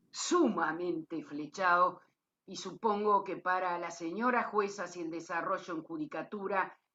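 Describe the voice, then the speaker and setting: A woman speaks in a bright, sharp tone at a medium pitch with ordinary pitch variation. Her pace is fairly slow, and her loudness swings a lot. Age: 60s. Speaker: lawyer and cooperative member. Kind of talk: closing remarks at a talk.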